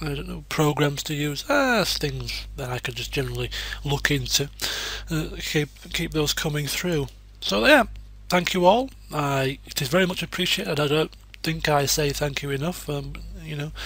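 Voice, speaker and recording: A man with a British accent at a moderate pace, over noticeable background noise. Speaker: gaming YouTuber (let's plays). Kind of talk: casual channel update. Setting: home desk recording. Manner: rambling, hesitant with fillers.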